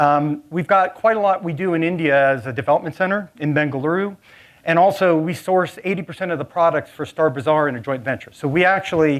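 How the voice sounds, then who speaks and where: Talking very fast with a Southern California accent, a man with a fairly high pitch for a man uses ordinary pitch variation over a quiet background. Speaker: technology director, conference speaker. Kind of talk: conference talk. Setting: stage with audience.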